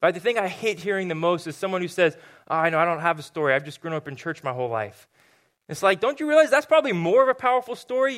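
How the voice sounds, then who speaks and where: A high-pitched man with an American accent, very fast, with very wide pitch swings, in a very clean recording over a silent background. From Southern California. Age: 20s. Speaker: youth pastor. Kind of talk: sermon. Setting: church stage with congregation.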